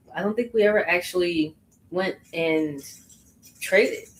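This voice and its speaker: There is noticeable background noise behind a woman's voice. She speaks at a moderate pace with lively intonation. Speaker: crochet content creator. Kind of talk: casual livestream chat while crocheting. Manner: loud.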